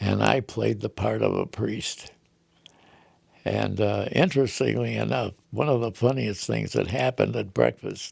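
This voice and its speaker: Using vocal fry, a man with a very deep, low pitch speaks at a fairly slow pace while his pitch swings very widely. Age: 80s+. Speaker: retired teacher and actor. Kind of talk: interview answer.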